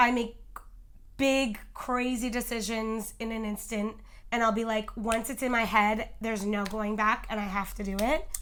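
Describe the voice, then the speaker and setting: A woman's loud voice sits at a fairly high pitch. Her delivery is monotone and flat at a moderate pace. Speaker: food video creator. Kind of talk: casual interview.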